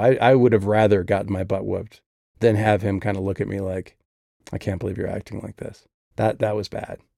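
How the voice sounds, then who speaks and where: Fairly quick and fairly even in intonation, a man's voice carries a dark, mellow tone. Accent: Midwestern American. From US Midwest. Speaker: author discussing his own audiobook. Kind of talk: casual monologue.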